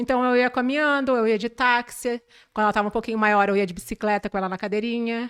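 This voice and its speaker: A woman's fairly high voice at a very fast pace, fairly even in intonation, dry and close with no echo, in a very clean recording with a silent background. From southern Brazil, Porto Alegre area. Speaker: manicure. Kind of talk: podcast interview.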